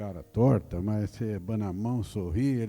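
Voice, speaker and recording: The speaker has a rural Minas Gerais accent. Music plays in the background. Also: man. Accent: rural Minas Gerais Brazilian Portuguese. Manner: slow, drawn-out speech with a rolled R.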